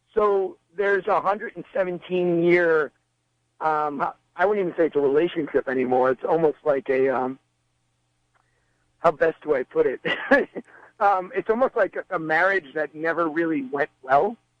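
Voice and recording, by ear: A man's fairly high voice at a moderate pace, with ordinary pitch variation and a dry, close sound with no echo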